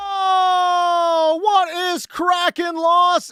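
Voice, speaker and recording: An energetic man's raised, projected voice, extremely high and bright, sharp in tone, on a very clean recording with a silent background. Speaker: sports radio host. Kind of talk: sports talk radio monologue. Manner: energetic, pumped.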